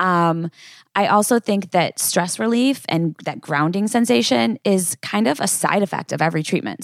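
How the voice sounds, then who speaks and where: A woman talks at a moderate pace in an unremarkable speaking voice. The sound is dry and close, with no echo. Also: very clean recording, silent background. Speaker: acupuncturist and herbalist. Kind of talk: casual interview chat.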